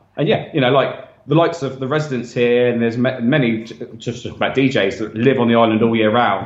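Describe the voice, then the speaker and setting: A man's medium-pitched voice, fairly even in intonation and fairly quick in pace, with audible room echo. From South Coast of England. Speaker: DJ. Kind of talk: casual chat.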